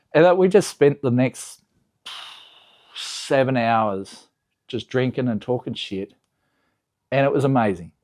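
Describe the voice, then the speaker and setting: A man with an Australian accent at medium pitch, lively in intonation, at a fairly slow pace with long, frequent pauses, on a very clean recording with a silent background. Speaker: car enthusiast YouTuber. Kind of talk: casual vlog recap. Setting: home garage.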